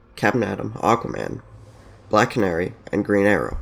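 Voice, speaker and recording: A man with vocal fry at a fairly slow pace, on a very clean recording with a silent background. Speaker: YouTube commentator. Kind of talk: video game story explainer.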